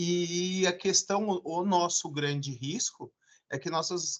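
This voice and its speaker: In a high pitch, a man speaks with ordinary pitch variation. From Brazil, São Paulo area. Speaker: law professor. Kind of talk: lecture.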